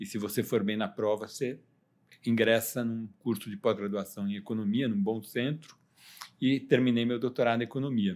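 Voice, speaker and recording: A man with an unremarkable speaking voice, medium pitch, fairly even intonation and a moderate pace. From Brazil, São Paulo city. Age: 60s. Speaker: economist. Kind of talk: podcast interview.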